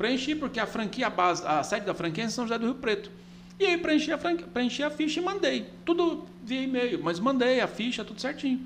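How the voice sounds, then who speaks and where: Speaking at a fairly quick pace, a man uses an extremely high pitch that swings very widely. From Goiás, Brazil (Catalão). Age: 40s. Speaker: business owner, franchisee. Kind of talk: casual interview chat. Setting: studio. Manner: halting, many repetitions.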